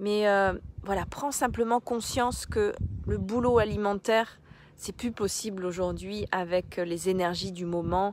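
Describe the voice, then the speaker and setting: A woman with a medium pitch talks very slowly. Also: very clean recording, silent background. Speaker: life coach and therapist. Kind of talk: live stream talk to viewers. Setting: outdoors on a beach, live. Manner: hesitant, many fillers.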